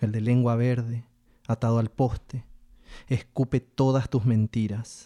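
This man has a dark, mellow tone at a medium pitch and very even loudness. The sound is dry and close, with no echo. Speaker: poetry reader. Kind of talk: reading poetry aloud in Spanish, solemn and measured. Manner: slow, deliberate, expressive.

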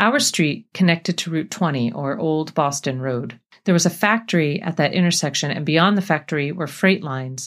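An unremarkable speaking voice at a fairly quick pace with ordinary pitch variation, in a very clean recording with a silent background. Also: woman. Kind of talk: poetry reading aloud, a reflective elegiac poem about trains and a lost father. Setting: radio show studio.

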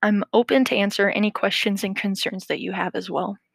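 In an American accent, a woman speaks at a moderate pace, the sound dry and close with no echo. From US Midwest. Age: 20s. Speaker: podcaster. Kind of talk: casual monologue.

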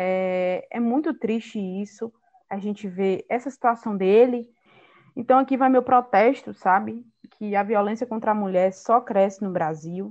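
A woman's ordinary speaking voice, medium in pitch, with ordinary pitch variation at a fairly slow pace. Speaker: podcast host, journalist. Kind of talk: casual chat.

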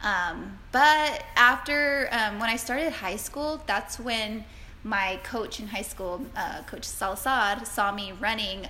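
There is audible room echo and noticeable background noise. A woman with an American accent speaks at a fairly high pitch with ordinary pitch variation. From South Texas. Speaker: marathon runner and occupational therapist. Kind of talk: interview.

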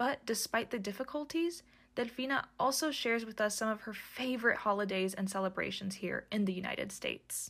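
Recorded very cleanly against a silent background, a woman with an unremarkable speaking voice talks at a fairly high pitch with ordinary pitch variation. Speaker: podcast narrator. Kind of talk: scripted narration.

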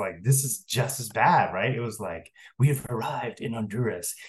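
Somewhat breathy, a man talks at a moderate pace. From San Francisco. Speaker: columnist and former professor. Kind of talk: interview. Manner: casual, halting with many fillers.

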